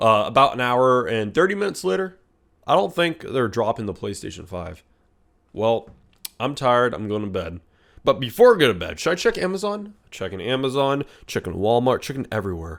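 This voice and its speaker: Putting on a raspy character voice at medium pitch, a man talks at a fairly quick pace in an animated tone with very wide pitch swings, in a very clean recording with a silent background. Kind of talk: comedic storytime vlog. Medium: solo performance. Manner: animated, rambling, self-interrupting.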